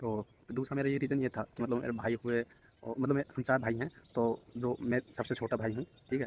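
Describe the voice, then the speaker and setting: Flat and monotone in intonation, a man speaks at a medium pitch. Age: 20s. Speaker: vlogger. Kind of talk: casual vlog monologue. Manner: casual, conversational.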